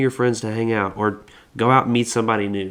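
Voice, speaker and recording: A man speaks at a very fast pace with fairly even intonation against a quiet background. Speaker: podcast co-host. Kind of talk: casual chat. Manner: loud; halting, many false starts.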